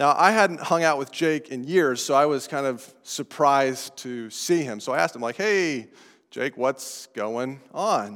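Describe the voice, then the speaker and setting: A man speaks with a fairly high pitch and an American accent. His intonation is lively and his pace fairly slow. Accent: non-New England American. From Colorado. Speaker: pastor. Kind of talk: sermon.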